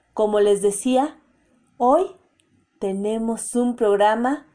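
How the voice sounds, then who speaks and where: A woman talks in a dark, mellow tone at medium pitch. The background is quiet. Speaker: radio host. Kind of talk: radio hosting.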